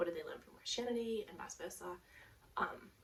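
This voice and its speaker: A woman speaks quietly with an Australian accent. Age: 30s. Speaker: knitting podcaster. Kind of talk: casual talk to camera. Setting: headphone mic at home.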